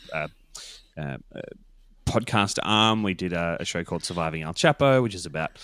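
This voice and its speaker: A man with an Australian accent and a very deep, low pitch, music in the background. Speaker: podcast producer. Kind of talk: interview. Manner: halting, many fillers.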